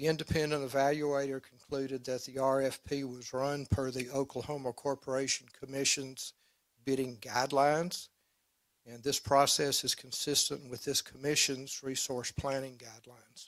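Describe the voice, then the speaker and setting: Speaking in an Arkansas accent, a man talks at a moderate pace and a medium pitch. His intonation is monotone and flat, while his loudness swings widely. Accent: US Southern, Arkansas. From Arkansas Delta. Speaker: attorney for utility company. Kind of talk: formal opening statement at regulatory hearing.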